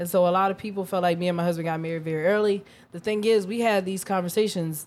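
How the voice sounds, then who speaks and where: This woman has an unremarkable speaking voice at a fairly low pitch. Her intonation stays fairly even. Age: 20s. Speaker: podcast host. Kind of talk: casual chat.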